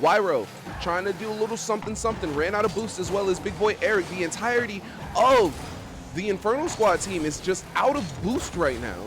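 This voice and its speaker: A loud man speaks at a high pitch while music plays in the background. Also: fairly quick pace. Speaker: esports caster. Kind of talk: live commentary. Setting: voice chat stream. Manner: loud, excited; animated. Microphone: mic cutting out, noise suppression.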